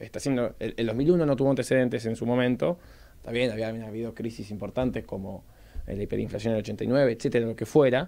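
Dark and mellow in tone, a man speaks at a very fast pace with ordinary pitch variation. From Argentina. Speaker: political consultant; interview guest, political analyst. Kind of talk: radio interview. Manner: halting. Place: studio. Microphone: studio mic.

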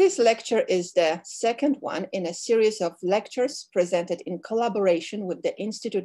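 Speaking at a fairly quick pace, a woman has a medium pitch, a dark, mellow tone and ordinary pitch variation against a quiet background. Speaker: cultural affairs director. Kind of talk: formal introduction. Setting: video call.

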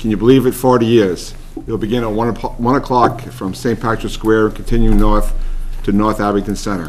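Light background noise sits under speech at a moderate pace. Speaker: board chairman. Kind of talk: town board meeting. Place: meeting room. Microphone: podium.

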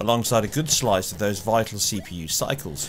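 With a British accent, a man talks at a moderate pace with lively intonation amid noticeable background noise. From UK. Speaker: gaming video creator. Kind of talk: scripted narration.

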